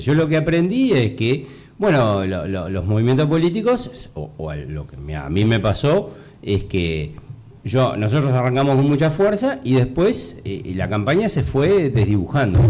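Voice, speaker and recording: In a Uruguayan accent, a man talks at a moderate pace and a medium pitch, with very wide pitch swings. Audible room echo and noticeable background noise surround his voice. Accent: Rioplatense Spanish (Uruguayan). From Uruguay, Montevideo. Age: 60s. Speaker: retired army colonel and former mayoral candidate. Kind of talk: interview. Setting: radio studio. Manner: halting, many fillers.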